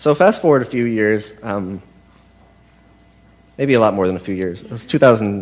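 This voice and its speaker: Speaking with an American accent, a man uses lively intonation at a medium pitch. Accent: sounds American. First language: Spanish. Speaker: confirmation candidate. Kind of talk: testimony. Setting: church. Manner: halting.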